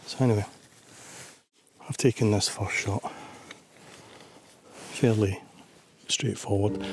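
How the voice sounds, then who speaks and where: Speech comes fairly slowly with a Scottish accent, broken by long, frequent pauses. The intonation is fairly even. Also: man, fairly low pitch for a man. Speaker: landscape photographer. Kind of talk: vlog narration. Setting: outdoors.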